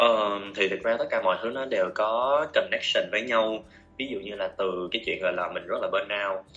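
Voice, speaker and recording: Over music in the background, a man talks at a moderate pace with hardly any pauses. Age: 20s. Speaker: marketing professional, master's student. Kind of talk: interview.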